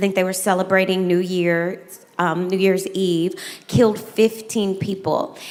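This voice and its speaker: This woman has an American accent and a medium pitch, speaking at a fairly slow pace with fairly even intonation. Noticeable background noise and audible room echo are present. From US South. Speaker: moderator, educator. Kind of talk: moderated fireside chat.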